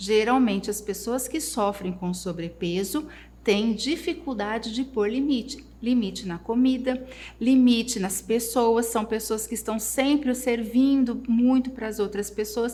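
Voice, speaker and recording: A woman with a plain, everyday voice, fairly high in pitch, at a fairly slow pace with ordinary pitch variation. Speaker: therapist. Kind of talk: live online class. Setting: livestream.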